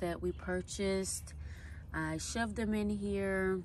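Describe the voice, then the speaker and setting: A woman at a very slow pace amid audible room echo. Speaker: home gardening vlogger. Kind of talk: casual garden tour vlog. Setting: outdoors in backyard garden. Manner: quiet, low voice.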